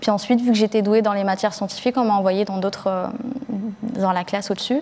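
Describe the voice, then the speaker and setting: Her medium-pitched voice flat and monotone, a woman speaks. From Algeria (Blida) until age 8, then France. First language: Algerian Arabic (Darija) (speaking French). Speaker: book editor, rap journalist. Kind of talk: panel discussion. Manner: hesitant, many fillers.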